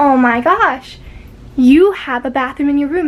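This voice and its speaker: The voice is loud and animated, moving at a fairly slow pace. Noticeable background noise is present. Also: woman. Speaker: vlogger. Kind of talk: casual room tour vlog. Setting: at home, moving around bedroom. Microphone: no microphone, device mic.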